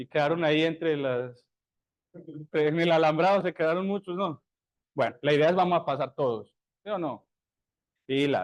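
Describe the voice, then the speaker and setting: At a moderate pace with long, frequent pauses, a man talks in a fairly high pitch with ordinary pitch variation. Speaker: university lecturer. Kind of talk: lecture. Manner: animated.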